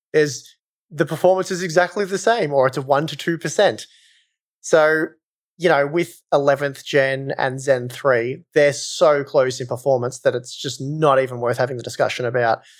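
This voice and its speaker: A man with an Australian accent, fairly high in pitch, at a moderate pace with ordinary pitch variation. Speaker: hardware reviewer. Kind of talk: casual chat. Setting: remote call.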